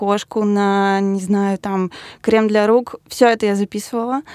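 With a normal speaking voice, a woman talks at a fairly slow pace, fairly high in pitch with fairly even intonation, on a very clean recording with a silent background. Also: dry, close sound with no echo. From Russia, Yaroslavl. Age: 20s. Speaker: designer. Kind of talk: interview.

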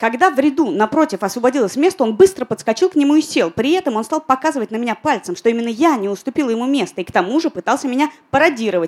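A woman talks very fast at a fairly high pitch with very wide pitch swings. The sound is dry and close, with no echo. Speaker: podcast host. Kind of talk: live podcast recording answering listener questions. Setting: bar with live audience.

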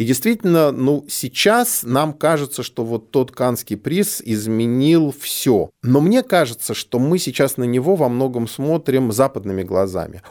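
A man with a medium pitch speaks in a plain, everyday voice at a fairly slow pace, with hardly any pauses. His intonation is lively, and the recording is very clean with a silent background. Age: 40s. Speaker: film curator. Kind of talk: conversational film discussion. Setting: studio.

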